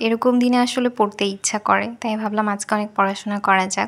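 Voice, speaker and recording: In a very clean recording with a silent background, a woman speaks with a Bangladeshi accent in a monotone, flat intonation. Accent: Bangladeshi Bengali. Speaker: university student. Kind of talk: casual study vlog talk to camera.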